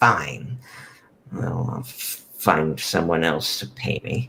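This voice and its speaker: Very slow and rumbling, a man uses a put-on character voice at a very deep, low pitch with hissing. His pitch swings very widely, and his loudness shifts a lot. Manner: hissing, grumbling.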